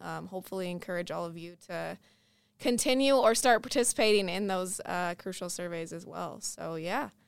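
Here is an unremarkable speaking voice of a woman with an American accent and medium pitch. The recording is very clean, with a silent background. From Minnesota. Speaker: podcast host. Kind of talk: casual interview.

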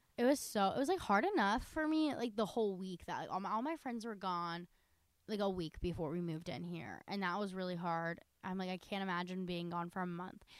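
At a fairly quick pace, a woman with a normal speaking voice talks at a medium pitch with lively intonation. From North Carolina. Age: young. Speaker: college student podcast co-host. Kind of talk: casual chat.

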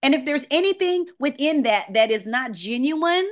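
Animated woman with a New Orleans accent, lively intonation, and a quiet background. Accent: Southern US (New Orleans). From US South. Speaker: voice and presentation coach. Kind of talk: online workshop presentation. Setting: video call.

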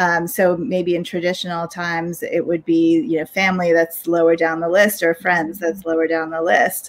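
Fairly low for a woman, her ordinary speaking voice moves at a moderate pace with fairly even intonation and hardly any pauses. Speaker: podcast host and workplace culture consultant. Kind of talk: casual chat. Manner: informal, filler-heavy.

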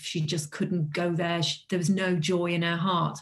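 A woman with a North Welsh accent speaks at a moderate pace with fairly low pitch. Her voice is somewhat breathy, with monotone, flat intonation. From North Wales. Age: 50s. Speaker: author and publisher. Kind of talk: interview.

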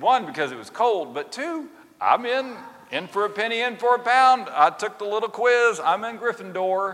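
A man talks at a moderate pace with an extremely high pitch and lively intonation. His loudness swings widely, and noticeable background noise is present. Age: 50s. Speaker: Episcopal priest. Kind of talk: sermon. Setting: church service. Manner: conversational, hesitant.

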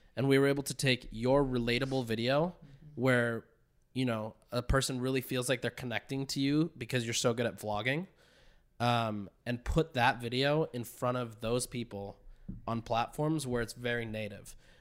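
A man's plain, everyday voice, medium in pitch, at a moderate pace with fairly even intonation, on a very clean recording with a silent background. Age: 20s. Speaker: direct-to-consumer marketer. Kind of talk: casual chat.

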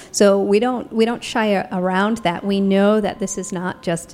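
A woman speaks in an unremarkable speaking voice with an American accent. Her pitch is medium and her intonation fairly even. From Ohio, US (after childhood in England and Canada). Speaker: documentary filmmaker and professor. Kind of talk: casual interview.

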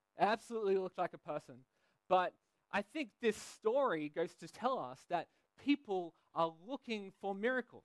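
In a dry, close sound with no echo, a man with a high pitch and an Australian accent talks at a moderate pace with lively intonation. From Australia, Sydney. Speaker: pastor. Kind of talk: sermon. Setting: church.

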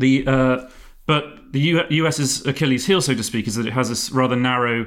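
A man speaks with an English accent and fairly even intonation. The recording is very clean, with a silent background. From England. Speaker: podcast host. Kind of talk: casual discussion.

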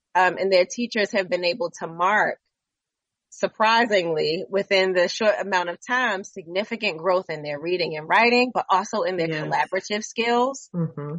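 With an American accent, a woman speaks at a moderate pace and medium pitch with ordinary pitch variation. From Baltimore, Maryland. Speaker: theater director and educator. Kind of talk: radio interview.

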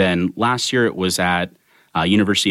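A man with an American accent speaks at a very deep, low pitch. The recording is very clean and dry, with a close sound, no echo, and a silent background. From Sacramento, California. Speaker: MBA student, conference organizer. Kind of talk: interview.

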